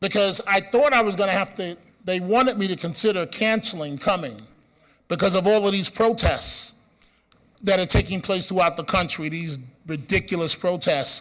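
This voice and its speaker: Raised and projected, this man's high voice has a bright, sharp tone, ordinary pitch variation and a moderate pace. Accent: Bronx. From New York City, the Bronx. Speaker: radio host. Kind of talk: conference speech. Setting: stage with audience.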